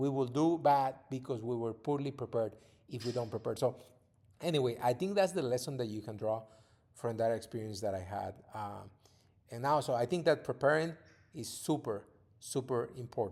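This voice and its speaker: Speaking with a Spanish accent, a man uses a medium pitch and ordinary pitch variation at a moderate pace. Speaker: podcast host, father, former TV reporter. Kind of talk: casual monologue to his children. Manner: halting, with repeated words.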